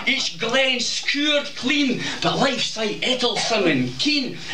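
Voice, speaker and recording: A man with a Scottish accent speaks at a very slow pace. Noticeable background noise runs underneath. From Scotland. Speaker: performance poet. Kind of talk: humorous performance poetry. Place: bar. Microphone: camera far.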